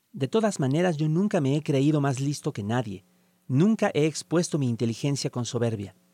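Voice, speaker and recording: An ordinary speaking voice from a man, fairly high in pitch, with lively intonation at a moderate pace, dry and close without echo, on a very clean recording with a silent background. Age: 40s. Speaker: writer. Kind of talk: reading aloud.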